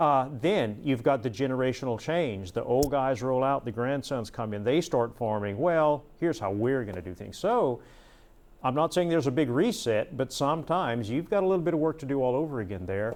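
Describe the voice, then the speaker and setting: A man with an American accent, medium in pitch, at a fairly quick pace with lively intonation. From Southwest Louisiana. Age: 60s. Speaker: conservation official. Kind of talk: panel discussion.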